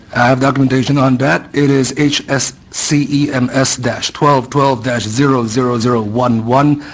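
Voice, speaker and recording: Noticeable background noise behind a man at medium pitch, moderately paced and fairly even in intonation. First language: not English. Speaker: public hearing witness. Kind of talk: public testimony speech. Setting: public hearing room. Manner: passionate.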